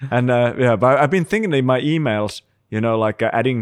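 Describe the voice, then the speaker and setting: In a Finnish accent, a man speaks at a moderate pace with medium pitch and ordinary pitch variation. The recording is very clean and dry, close, with no echo and a silent background. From Finland. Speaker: screenwriter and creative industry veteran. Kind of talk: casual chat. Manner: halting.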